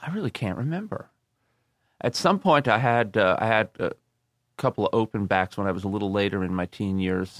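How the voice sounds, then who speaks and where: A man with an American accent and a plain, everyday voice, fairly low-pitched, at a fairly quick pace with ordinary pitch variation, on a very clean recording with a silent background and a dry, close sound with no echo. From New York City, Long Island area. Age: 50s. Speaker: banjo player and music teacher. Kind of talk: interview.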